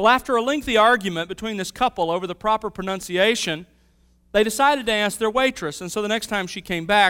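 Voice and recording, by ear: Pitch shifts in an ordinary way. The text is read aloud in a natural voice.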